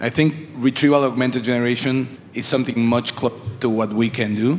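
Over noticeable background noise, a man speaks at a moderate pace and medium pitch in a monotone, flat intonation. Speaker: audience member asking questions. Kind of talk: audience Q&A. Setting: live event.

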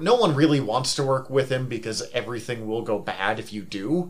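A man with an ordinary speaking voice talks at a moderate pace, his pitch medium and its variation ordinary. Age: 30s. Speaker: podcast co-host. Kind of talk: casual chat.

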